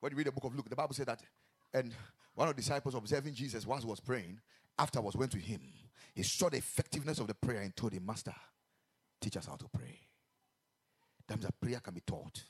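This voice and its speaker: A man's animated, somewhat breathy, medium-pitched voice at a very fast pace, with ordinary pitch variation and long, frequent pauses. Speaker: preacher. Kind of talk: sermon. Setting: church. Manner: repetitive, call-and-response.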